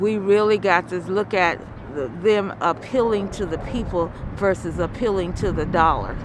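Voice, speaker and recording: This woman talks at a moderate pace with a medium pitch and ordinary pitch variation. Noticeable background noise sits behind her. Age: 70s. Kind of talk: interview answer.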